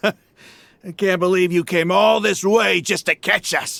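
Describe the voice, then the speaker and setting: A man does a put-on character voice, pitched high, at a moderate pace with fairly even intonation. The sound is dry and close, with no echo. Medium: video game. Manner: mocking, brash.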